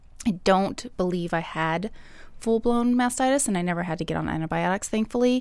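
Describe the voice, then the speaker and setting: In a very clean recording with a silent background, a woman with an ordinary speaking voice talks at a moderate pace, her pitch fairly low and its variation ordinary. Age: 30s. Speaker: esthetician and mother. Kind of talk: casual chat.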